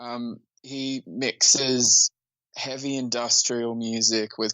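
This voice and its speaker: Speaking in an Australian accent, a man keeps his voice at a medium pitch. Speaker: musician. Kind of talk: casual interview.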